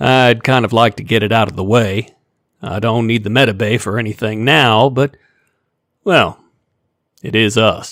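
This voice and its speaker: A man drawls in a put-on character voice at a medium pitch and a moderate pace. He keeps his intonation fairly even and takes long, frequent pauses. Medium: read story. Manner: easygoing drawl.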